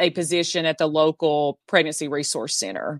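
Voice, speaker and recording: This woman with a Southern US accent is recorded very cleanly against a silent background, with a dry, close sound and no echo. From Southeast Tennessee. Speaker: abortion abolition activist. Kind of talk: interview.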